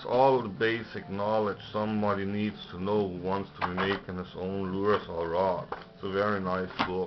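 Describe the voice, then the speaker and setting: Against noticeable background noise, a man with a fairly low pitch speaks at a moderate pace with fairly even intonation. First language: German. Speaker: lure maker reviewing books. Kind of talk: casual video review. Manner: hesitant, many fillers.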